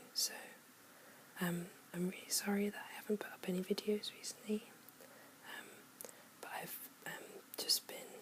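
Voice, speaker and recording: Whispering at a moderate pace, the speaker leaves long, frequent pauses over noticeable background noise. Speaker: ASMR creator. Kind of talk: ASMR soft-spoken. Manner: soft-spoken.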